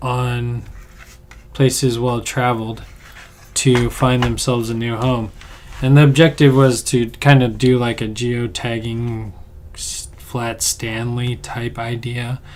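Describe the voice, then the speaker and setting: Quiet, very slow speech with long, frequent pauses and noticeable background noise. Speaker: artist livestreamer. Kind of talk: casual livestream chat. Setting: home studio.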